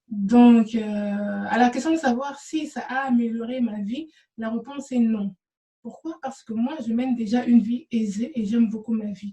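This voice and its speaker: A woman speaks with a non-native accent and a fairly high pitch. Her tone is dark and mellow, with fairly even intonation. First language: not French (speaking French). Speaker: spiritual energy healer, vlogger. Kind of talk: talking-head video answering questions. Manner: halting, frequent hesitations and repetitions.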